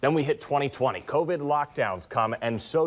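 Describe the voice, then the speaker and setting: A normal speaking voice from a man, fairly high in pitch, with lively intonation. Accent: American. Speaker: television news anchor. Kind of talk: TV news anchor delivery.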